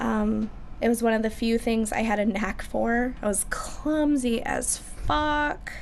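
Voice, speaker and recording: In a Midwestern American accent, a woman speaks at a very slow pace and a fairly high pitch, with ordinary pitch variation, very even loudness and audible room echo. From Michigan, US. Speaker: musician. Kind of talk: casual chat.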